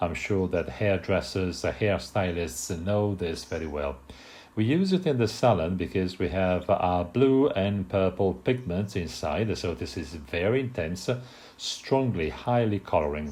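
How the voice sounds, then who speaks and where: A man speaks at a fairly slow pace with a very deep, low pitch, lively intonation and an Italian accent. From Italy. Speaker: hair colour technician. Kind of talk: product presentation. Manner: hesitant, many filler sounds.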